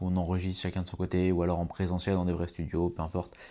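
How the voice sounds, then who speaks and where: On a very clean recording with a silent background, a man speaks at a very deep, low pitch in a dark, mellow tone. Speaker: podcaster and coach. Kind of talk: solo podcast monologue. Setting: at home on a sofa at night. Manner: fast; poorly articulated.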